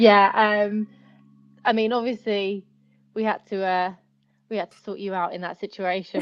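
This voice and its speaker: A woman with a British accent, fairly high in pitch, at a moderate pace with ordinary pitch variation. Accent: British (UK). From East End of London, England. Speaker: pageant titleholder, photographer and stylist. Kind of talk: casual interview chat. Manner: animated.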